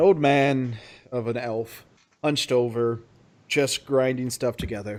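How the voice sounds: Fairly even intonation in a natural reading voice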